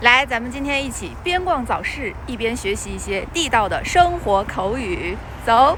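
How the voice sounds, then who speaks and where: A woman's high voice at a fairly slow pace, with very wide pitch swings and big swings in loudness amid noticeable background noise. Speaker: Chinese language teacher. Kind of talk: casual vlog talk to camera. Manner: natural normal speed.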